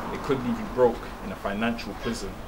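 Over noticeable background noise, a man speaks at a moderate pace with fairly even intonation. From London. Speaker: spoken word poet. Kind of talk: spoken word performance. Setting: outdoors on the street. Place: street. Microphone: handheld.

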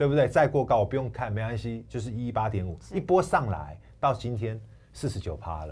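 A man talks at a fairly quick pace with a medium pitch and vocal fry. His pitch swings very widely, and light background noise is present. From Taiwan. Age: 40s. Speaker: stock analyst. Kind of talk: sales pitch. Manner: animated. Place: studio. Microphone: lapel.

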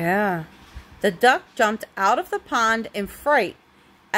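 Text is read aloud in a natural voice, carried by lively intonation.

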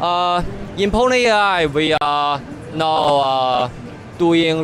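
Music plays in the background as a man speaks. The sound is dry, with no echo. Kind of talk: product explanation to interviewer. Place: hall. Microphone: handheld.

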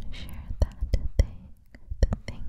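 In a whisper, the speaker goes at a fairly slow pace. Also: woman. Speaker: relaxation video host. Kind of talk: soft whispered relaxation talk. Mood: warm, soothing, encouraging. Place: home room. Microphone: studio mic.

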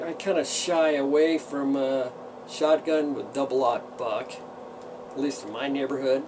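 A man's fairly even intonation over noticeable background noise. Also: fairly slow pace. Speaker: pipe smoking vlogger. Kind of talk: casual vlog chat. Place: workshop. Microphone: phone near.

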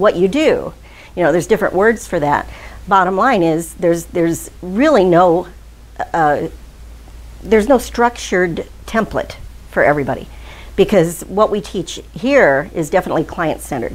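A woman speaks at a moderate pace. She leaves long pauses, and often. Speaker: hypnosis instructor. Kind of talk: lecture. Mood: warm, lightly humorous. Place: classroom.

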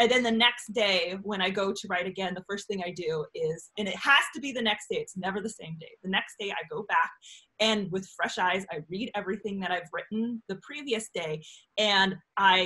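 Over a quiet background, the speaker keeps a moderate pace with ordinary pitch variation and big swings in loudness. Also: woman. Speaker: guest. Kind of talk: interview answer. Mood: animated and joking. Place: home room. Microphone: video call.

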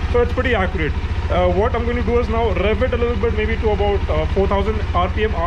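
Noticeable background noise behind a man speaking. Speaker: motorbike owner vlogger. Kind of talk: tutorial. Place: street. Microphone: phone near.

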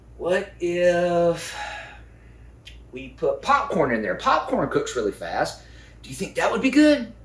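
A man talks fairly slowly, with room echo audible around his voice. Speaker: children's lesson host. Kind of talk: host talk to children. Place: kitchen. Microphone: camera far.

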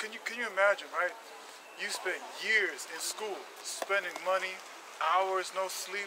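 A man with a high-pitched voice speaks with long, frequent pauses over noticeable background noise. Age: 40s. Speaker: street preacher. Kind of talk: sermon. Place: street. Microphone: handheld.

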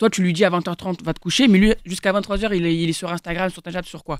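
In a very clean recording with a silent background, a woman at a fairly low pitch sounds dry and close, with no echo. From France, Seine-et-Marne (Paris suburbs). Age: 20s. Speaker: young debater. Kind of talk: casual debate.

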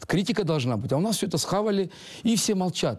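Against a quiet background, a man talks very fast with lively intonation. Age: 40s. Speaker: football coach. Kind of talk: interview. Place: hall.

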